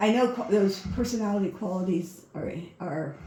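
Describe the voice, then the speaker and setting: A woman speaks with ordinary pitch variation. Room echo is audible, and background noise is noticeable. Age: 70s. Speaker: retired prison warden applying for a guide dog. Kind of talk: recorded application interview answers. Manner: halting.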